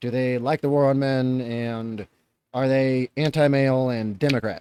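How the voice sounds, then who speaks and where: A man speaks with a dark, mellow tone at a medium pitch and ordinary pitch variation. The sound is dry and close with no echo. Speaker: reaction youtuber. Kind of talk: reaction commentary. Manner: coughing, choking at times.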